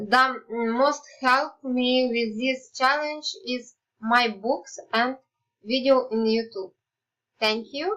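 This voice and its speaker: A woman with a Ukrainian accent speaks at a very slow pace and a high pitch. Her tone is bright and sharp, with ordinary pitch variation. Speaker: student. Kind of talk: class presentation.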